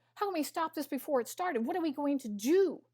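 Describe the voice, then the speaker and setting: A woman's animated tone and lively intonation at a fairly quick pace, dry and close with no echo. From US Midwest, Missouri. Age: 60s. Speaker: nutritionist and biochemist. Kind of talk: interview.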